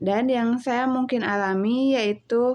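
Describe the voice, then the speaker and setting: With a West Javanese accent, a woman speaks very slowly in a fairly high pitch, her dark, mellow tone paired with fairly even intonation. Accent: Sundanese accent in Indonesian. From Indonesia, West Java (Cianjur). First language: Sundanese (speaking Indonesian). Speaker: university student. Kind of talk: class assignment presentation.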